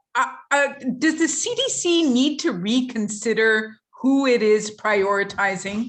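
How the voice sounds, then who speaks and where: This woman has a normal speaking voice, a fairly high pitch, ordinary pitch variation and a fairly slow pace. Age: 50s. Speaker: moderator. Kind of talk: press briefing moderation. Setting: video call.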